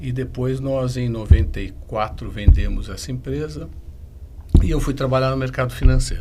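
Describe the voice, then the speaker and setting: Audible room echo and noticeable background noise surround the recording. A man speaks at a moderate pace. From São Paulo state, Brazil. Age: 60s. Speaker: M&A advisor and business conflict mediator. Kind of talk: podcast interview.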